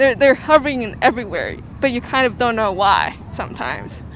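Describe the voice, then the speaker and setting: A high-pitched woman's voice at a moderate pace, with noticeable background noise. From China. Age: 20s. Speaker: international student. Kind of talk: street interview. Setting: outdoors on the street. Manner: hesitant, many fillers.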